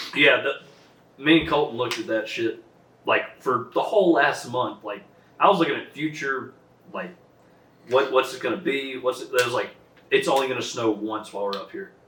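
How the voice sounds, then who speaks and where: Here a man talks with a Texas accent, fairly high in pitch and at a moderate pace. His intonation is lively, and his loudness swings widely. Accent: Texas Southern US. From Southeast Texas. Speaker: podcast host. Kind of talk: casual chat.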